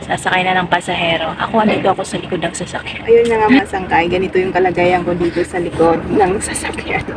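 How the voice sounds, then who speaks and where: A woman talks at a fairly quick pace with fairly even intonation. Noticeable background noise runs underneath. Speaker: vlogger. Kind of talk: casual vlog. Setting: late night at home, then at ferry pier; at the pier. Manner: quiet, speaking softly.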